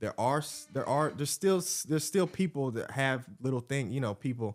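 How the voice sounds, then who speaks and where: At a fairly quick pace, a man speaks with fairly high pitch and lively intonation while music plays in the background. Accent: American. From US South, Atlanta, Georgia. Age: 20s. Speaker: YouTuber. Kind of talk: casual chat.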